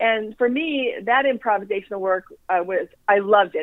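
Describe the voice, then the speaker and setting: This woman speaks at a medium pitch with lively intonation. It is an unremarkable speaking voice. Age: 60s. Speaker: actress. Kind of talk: casual chat. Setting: phone call.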